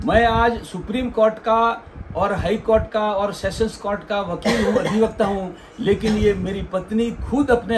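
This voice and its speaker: The speaker is a man with a high pitch. Noticeable background noise runs behind him. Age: 60s. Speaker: lawyer and cow keeper. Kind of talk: interview testimony. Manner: halting.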